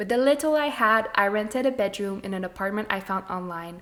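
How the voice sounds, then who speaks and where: Words come out at a fairly quick tempo. The pitch moves in an ordinary way. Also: woman. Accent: slight French Canadian. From Quebec, French Canada. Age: 20s. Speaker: podcast host. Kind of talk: scripted narration.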